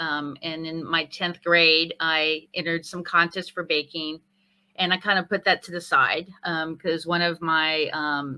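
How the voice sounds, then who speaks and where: At a fairly slow pace, a woman with an American accent speaks at a fairly low pitch. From Northern California. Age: 50s. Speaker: chef turned concierge business owner. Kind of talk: interview.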